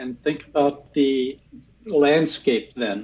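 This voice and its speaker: A man speaks at a very slow pace. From US South. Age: 70s. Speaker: professor of religious studies. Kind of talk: interview.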